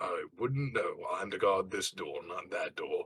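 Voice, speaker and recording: A man puts on a raspy character voice at an extremely high pitch. He speaks at a fairly slow pace. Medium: actual play. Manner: gruff, blunt.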